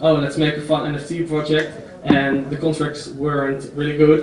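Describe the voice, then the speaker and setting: With a Dutch accent, a man speaks at a moderate pace in a monotone, flat intonation and a fairly high pitch, with audible room echo and noticeable background noise. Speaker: entrepreneur. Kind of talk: conference talk. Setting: stage with audience. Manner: halting.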